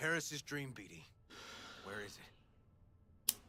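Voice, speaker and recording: Using a put-on character voice at a medium pitch, a man speaks at a moderate pace over clear background noise. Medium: video game.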